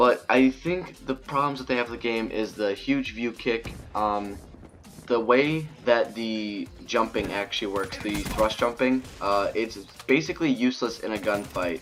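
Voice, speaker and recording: Music plays in the background as a man speaks at a moderate pace. His voice has medium pitch and ordinary pitch variation. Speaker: gaming YouTuber. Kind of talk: gameplay commentary. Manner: halting, stuttering a little.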